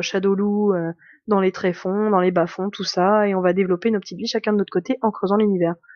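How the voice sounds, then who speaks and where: The woman's medium-pitched voice stays monotone, with flat intonation throughout. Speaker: tabletop RPG reviewer. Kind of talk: casual chat.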